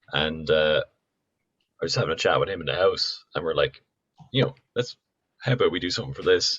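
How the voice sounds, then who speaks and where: A man speaks in a Dublin accent at a fairly quick pace. He leaves long, frequent pauses. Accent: Irish, Dublin. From Dublin, Ireland (Donabate). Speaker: musician. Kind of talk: casual chat.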